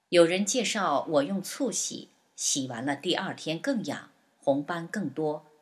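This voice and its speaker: This woman has a normal speaking voice, pitched fairly low. She talks at a fairly slow pace with lively intonation. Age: 60s. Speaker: patient giving testimony. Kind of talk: scripted narration of a patient testimony. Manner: list-like reading of dates and steps.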